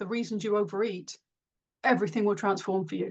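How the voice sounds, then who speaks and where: A woman speaks with a fairly high pitch and ordinary pitch variation. It is an ordinary speaking voice. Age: 50s. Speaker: author. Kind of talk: interview.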